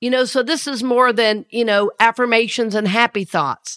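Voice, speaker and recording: In a Southern US accent, a woman with a high pitch and warm tone talks with ordinary pitch variation, the sound dry and close with no echo on a very clean recording with a silent background. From US South. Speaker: minister and podcast host. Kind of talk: spiritual talk podcast. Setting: studio. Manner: warm, conversational, laughs often.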